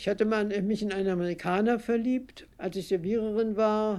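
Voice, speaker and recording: A woman's dark, mellow tone moves along at a moderate pace. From Berlin, Germany. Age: 80s+. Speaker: contemporary witness recounting her life. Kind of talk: personal storytelling interview. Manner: hesitant with fillers.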